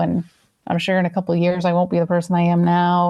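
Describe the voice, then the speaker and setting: Soft-spoken and somewhat breathy, a woman talks at a very fast pace with fairly low pitch. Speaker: actress. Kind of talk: interview. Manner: halting.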